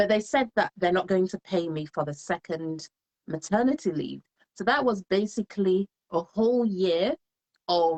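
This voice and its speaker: With lively intonation, a woman talks at a moderate pace and a medium pitch. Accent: slight English. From England. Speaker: solicitor and home business entrepreneur. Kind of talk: live interview, personal story. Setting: Facebook live stream.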